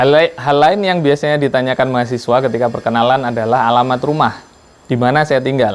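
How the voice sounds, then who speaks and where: A man with a strong Javanese accent speaks at a fairly quick pace with ordinary pitch variation over noticeable background noise. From Lampung, Sumatra, Indonesia (Javanese family). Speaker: university lecturer. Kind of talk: lecture. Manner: hesitant fillers.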